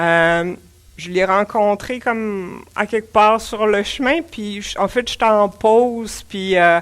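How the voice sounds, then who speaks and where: A woman's fairly high voice in a Quebec accent, ordinary pitch variation and a very slow pace, on a very clean recording with a silent background. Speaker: pilgrim giving a talk. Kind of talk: public talk. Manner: casual, with many hesitations.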